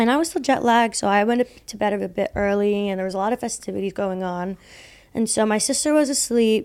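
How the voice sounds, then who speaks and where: A woman talks at a fairly quick pace in a medium pitch. She has an unremarkable speaking voice. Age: 20s. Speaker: podcast co-host. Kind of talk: casual chat.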